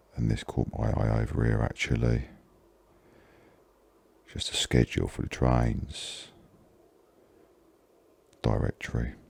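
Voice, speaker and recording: Over noticeable background noise, a man with a Cockney accent speaks at a very deep, low pitch and a fairly slow pace, in a monotone, flat intonation, with long, frequent pauses. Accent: Cockney (London). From London, England. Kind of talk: ASMR gaming commentary.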